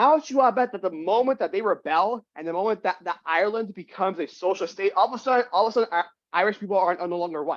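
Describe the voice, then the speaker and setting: Speaking at a very fast pace with hardly any pauses, a man with a high voice and ordinary pitch variation is heard in a dry, close sound with no echo and a quiet background. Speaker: book club member. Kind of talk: casual chat. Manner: halting, many repeated words.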